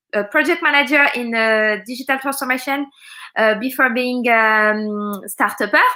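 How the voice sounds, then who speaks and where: In a French accent, a woman speaks at a moderate pace with a high pitch. Her tone is bright and sharp, and her pitch varies in an ordinary way. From France. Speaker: startup founder and mentor. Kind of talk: casual interview. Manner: halting.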